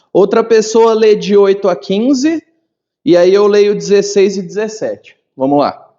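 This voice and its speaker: A man with a high-pitched voice talks fairly slowly, his pitch varying in an ordinary way. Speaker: pastor teaching a Bible class. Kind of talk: Bible class lecture.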